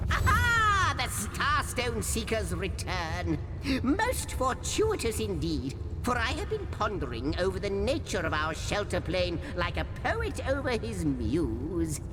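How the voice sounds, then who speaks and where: Someone performs a put-on character voice at a fairly slow pace. Loud background noise runs underneath. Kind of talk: florid, pompous game dialogue. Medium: machinima. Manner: wordy, ornate, self-interrupting.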